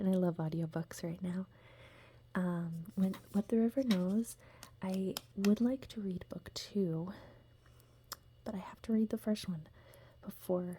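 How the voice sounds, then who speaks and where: A soft-spoken woman with a gentle, dark, mellow tone sounds somewhat breathy, speaking at a fairly slow pace with fairly even intonation. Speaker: ASMR content creator and book reviewer. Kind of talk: casual talk to camera about books. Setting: home setting with a dog running around. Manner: soft-spoken, gentle.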